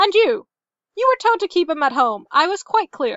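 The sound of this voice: A put-on character voice with a fairly bright tone moves at a moderate pace through big pitch swings, the sound dry and close with no echo. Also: woman, extremely high pitch for a woman.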